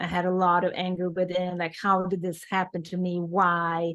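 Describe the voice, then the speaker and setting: A fairly low-pitched woman with a Swedish accent at a moderate pace, over a quiet background. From Sweden. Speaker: author in addiction recovery. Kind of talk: interview.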